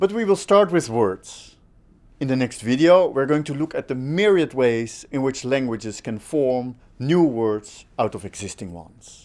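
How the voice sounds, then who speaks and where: Very wide pitch swings and big swings in loudness mark a man speaking with a Dutch accent. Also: medium pitch for a man, moderate pace. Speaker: linguistics lecturer. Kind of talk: online course lecture.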